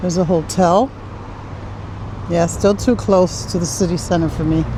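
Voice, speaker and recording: A woman's fairly low voice with ordinary pitch variation and noticeable background noise. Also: moderate pace. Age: 60s. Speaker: travel vlogger. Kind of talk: casual vlog narration while walking. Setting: outdoors, walking through town streets. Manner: chatty, conversational.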